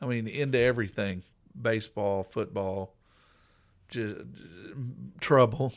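A man with an American accent speaks at a medium pitch and a fairly slow pace, with ordinary pitch variation and long, frequent pauses, while music plays in the background. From Coweta, Oklahoma. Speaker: pastor. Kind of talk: personal testimony in casual interview.

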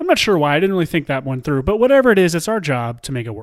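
The recording is very clean, with a silent background. A man speaks with lively intonation. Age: 30s. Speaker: podcast co-host. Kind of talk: casual chat.

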